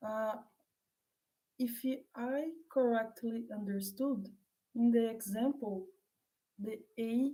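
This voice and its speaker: A woman with a non-native accent speaks very slowly in a fairly high, somewhat breathy voice, her dark, mellow tone carried on a fairly even intonation. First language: not English. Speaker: mathematician. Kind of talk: academic Q&A. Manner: halting.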